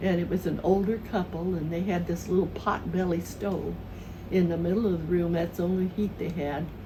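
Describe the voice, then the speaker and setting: Against noticeable background noise, a woman with a South Midland US accent and fairly low pitch speaks at a moderate pace in a monotone, flat intonation. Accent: Southern Midland American. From southern Missouri. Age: 80s+. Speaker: retired elementary school teacher. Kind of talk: interview answer, reminiscing.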